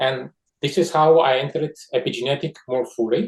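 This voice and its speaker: The pace is moderate. There is a somewhat breathy quality to the voice. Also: man. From Georgia. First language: Russian. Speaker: scientist. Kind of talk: interview. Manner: halting.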